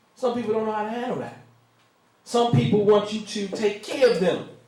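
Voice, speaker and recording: A man speaks with a high-pitched voice, and the room echo is audible. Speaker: minister. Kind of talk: sermon. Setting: room with live audience. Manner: slow.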